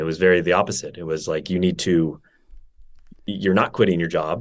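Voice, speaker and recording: Someone with an American accent talks at a very fast pace against a quiet background. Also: man. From Northern California. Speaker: wellness entrepreneur. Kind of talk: casual interview chat.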